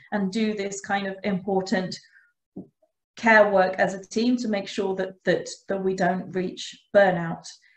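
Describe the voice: Over audible room echo, a woman speaks at a fairly slow pace with fairly even intonation.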